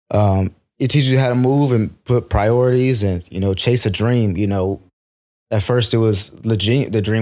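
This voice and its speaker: This man has an ordinary speaking voice of medium pitch with an American accent and fairly even intonation. His loudness stays very even, and the recording is very clean with a silent background. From San Antonio, Texas. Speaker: music manager. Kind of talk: casual chat.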